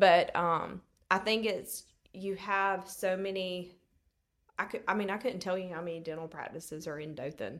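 This woman has a Southern US accent and a warm tone at medium pitch with ordinary pitch variation. The recording is very clean, with a silent background. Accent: Southern US, noticeable drawl. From Alabama, US South. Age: 30s. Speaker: treatment coordinator at a dental practice. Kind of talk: casual interview chat. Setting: event venue in a church, in person. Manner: warm, friendly, laughs often.

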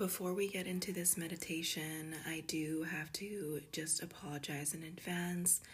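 Somewhat breathy and warm, a woman talks in a soothing tone with monotone, flat intonation and hardly any pauses. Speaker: wellness podcast host and esthetician. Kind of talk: guided meditation. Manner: soothing, slow and gentle, with a calm, unhurried pace; warm and affectionate, addressing listeners as 'goddess'.

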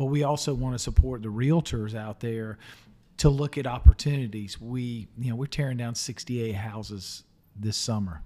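A man with a Southern US accent at medium pitch, dark and mellow in tone, with ordinary pitch variation and a moderate pace, on a very clean recording with a silent background. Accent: US South. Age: 50s. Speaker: podcast host and local politician. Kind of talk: interview. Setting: studio.

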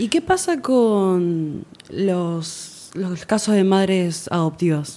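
A woman speaks at a medium pitch and a very slow pace. Her tone is dark and mellow. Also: ordinary pitch variation. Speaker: podcast guest, host's sister. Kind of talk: casual chat.

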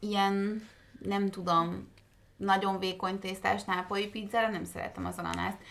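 A woman speaks at a medium pitch and a moderate pace. Her intonation stays monotone and flat. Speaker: podcast co-host. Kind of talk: casual chat. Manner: quiet.

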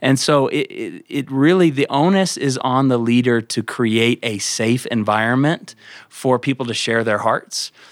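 With a normal speaking voice, a man goes at a fairly slow pace with ordinary pitch variation and hardly any pauses. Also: medium pitch for a man, very clean recording, silent background. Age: 30s. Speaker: pastor. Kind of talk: casual chat.

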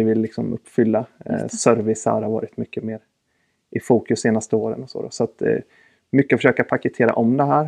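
A man is speaking. His voice sounds dry and close, without any echo. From Sweden, Östergötland. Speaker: retail sales manager. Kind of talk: casual interview.

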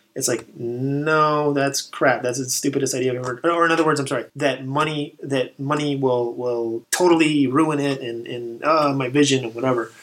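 A man's fairly high voice with an American accent, moderate pace, hardly any pauses and fairly even intonation amid noticeable background noise. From Texas, El Paso. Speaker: army veteran and writer. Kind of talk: casual chat. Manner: halting, repeats words.

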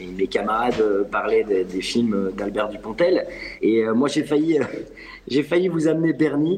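Over noticeable background noise, a voice moves at a fairly slow pace with very wide pitch swings. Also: man, medium pitch for a man. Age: 40s. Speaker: acting coach. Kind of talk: panel discussion. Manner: halting, many repetitions.

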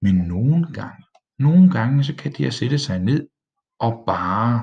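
Lively intonation marks this man's speech at a medium pitch. He is somewhat breathy and talks at a fairly slow pace. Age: 20s. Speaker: village pastor and podcaster. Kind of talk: casual solo monologue. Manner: hesitant, with filler sounds.

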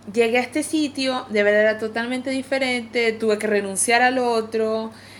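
Speaking with a Venezuelan accent, a woman uses a high pitch, fairly even intonation and a fairly slow pace. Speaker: pastry chef. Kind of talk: casual chat.

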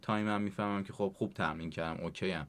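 Fairly low in pitch, a man uses an ordinary speaking voice with fairly even intonation in a very clean recording with a silent background. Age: 20s. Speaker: CrossFit athlete. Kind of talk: interview.

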